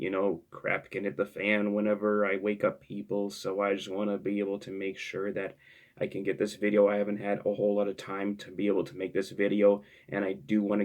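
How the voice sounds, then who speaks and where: Quiet and monotone, a man speaks fairly quickly with flat intonation. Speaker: sports YouTuber. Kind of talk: casual commentary. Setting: home at night. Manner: halting.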